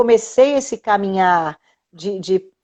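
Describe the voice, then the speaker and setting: The speed is very slow. This woman's intonation rises and falls in a lively way. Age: 60s. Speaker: integrative therapist. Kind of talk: casual chat. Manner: animated; halting.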